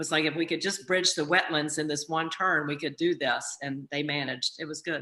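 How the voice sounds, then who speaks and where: A woman with an American accent speaks at a fairly quick pace with hardly any pauses. Her very deep, low voice has a bright, sharp tone and a flat, monotone delivery. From southern Virginia, US. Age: 60s. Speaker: racetrack owner and CEO. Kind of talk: casual storytelling on video call. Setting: video call.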